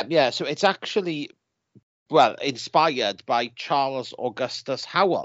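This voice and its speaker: The clip has a normal speaking voice moving at a fairly slow pace with ordinary pitch variation. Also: man, fairly high pitch for a man. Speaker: podcast co-host. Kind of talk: casual chat.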